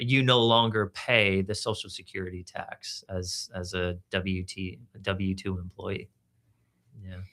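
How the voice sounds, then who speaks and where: A man speaks slowly at a fairly low pitch, with a bright, sharp tone and fairly even intonation. His loudness swings widely on a very clean recording with a silent background. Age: 40s. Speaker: financial commentator. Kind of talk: radio panel discussion.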